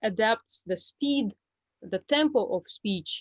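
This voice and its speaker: A woman with a Russian accent speaks very slowly, the sound dry and close with no echo, over a quiet background. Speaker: Russian language teacher. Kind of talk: online group presentation. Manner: halting, many fillers.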